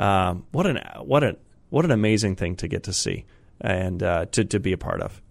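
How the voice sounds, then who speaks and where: Pitched fairly low, a man speaks at a moderate pace with lively intonation. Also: very clean recording, silent background. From Colorado plains, US. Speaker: pastor. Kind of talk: interview. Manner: halting, many fillers.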